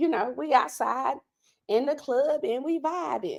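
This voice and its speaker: A woman speaks with an American accent. Her pitch is high. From Texas, Dallas. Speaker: beauty and lifestyle vlogger. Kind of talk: casual livestream chat. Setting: home livestream, sitting on living room floor.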